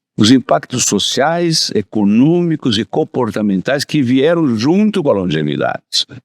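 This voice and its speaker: At a fairly slow pace and with hardly any pauses, a man of medium pitch makes very wide pitch swings, recorded with a dry, close sound and no echo. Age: 80s+. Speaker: insurance executive. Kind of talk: interview. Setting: studio.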